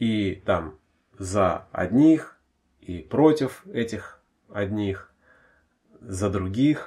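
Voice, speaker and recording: Lively intonation marks this man's medium-pitched, somewhat breathy voice. He leaves long, frequent pauses. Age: 30s. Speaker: podcast host, father discussing rap. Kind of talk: casual chat.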